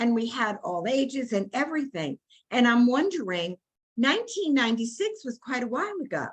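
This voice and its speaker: Talking at a fairly quick pace, a woman with an American accent uses a high voice with very wide pitch swings. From New York, Brooklyn. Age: 80s+. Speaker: workshop participant, community organizer. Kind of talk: group discussion. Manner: halting.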